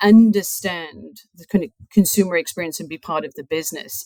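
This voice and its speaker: Moderate pace and ordinary pitch variation, in a British accent. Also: woman. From UK. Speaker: chief financial officer. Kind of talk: podcast interview.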